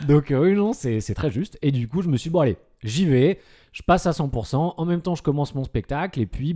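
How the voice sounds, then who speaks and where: A man speaks at a moderate pace in a dark, mellow tone, his pitch swinging very widely. The recording is very clean with a silent background and a dry, close sound with no echo. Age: 30s. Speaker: comedian and psychiatric nurse. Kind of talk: casual podcast chat.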